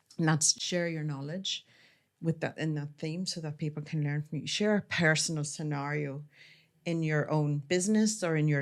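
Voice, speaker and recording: A woman speaks at a moderate pace with a very deep, low pitch, fairly even intonation and an Irish accent. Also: very clean recording, silent background. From Ireland, near the north-south border. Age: 40s. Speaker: author and publisher. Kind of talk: podcast interview.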